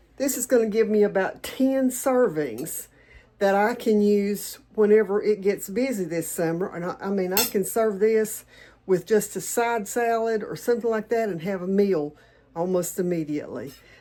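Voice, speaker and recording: Her tone dark and mellow, a woman with a Southern accent talks at a moderate pace and medium pitch with ordinary pitch variation. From Tennessee, US South. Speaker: home cook and homesteading channel host. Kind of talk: cooking tutorial. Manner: casual, chatty.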